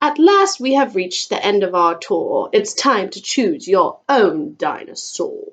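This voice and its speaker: Using a put-on character voice, a woman speaks in a high pitch at a fairly slow pace, swinging very widely in pitch and hardly pausing at all. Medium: read story. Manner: theatrical, flamboyant.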